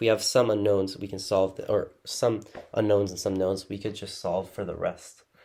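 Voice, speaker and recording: Recorded very cleanly against a silent background, a man speaks with a fairly low pitch and a dark, mellow tone. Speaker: physics tutor. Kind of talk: lecture. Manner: halting; soft-spoken.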